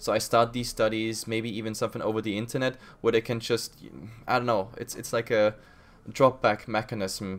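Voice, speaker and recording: With a German accent, a man speaks at medium pitch and a fairly quick pace, his intonation fairly even, on a very clean recording with a silent background. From Germany. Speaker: podcast host and esports caster. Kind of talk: podcast interview.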